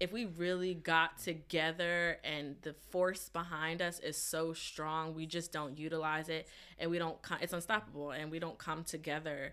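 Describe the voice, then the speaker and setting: A woman with an American accent speaks at a moderate pace, fairly low in pitch, her intonation monotone and flat. Her tone is bright and sharp, on a very clean recording with a silent background. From New Jersey. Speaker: journalist. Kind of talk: podcast panel discussion.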